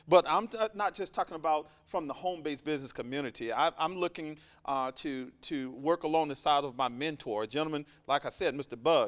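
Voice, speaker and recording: In a very clean recording with a silent background, a man with a Southern US accent talks at a fairly quick pace, using a fairly high pitch and ordinary pitch variation. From US South, Alabama. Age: 40s. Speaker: entrepreneur and mentor. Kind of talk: podcast interview. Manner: animated.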